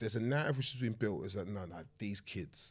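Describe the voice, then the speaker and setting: A man with a London accent at a moderate pace, on a very clean recording with a silent background. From southeast London. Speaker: charity founder and author. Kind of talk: casual discussion.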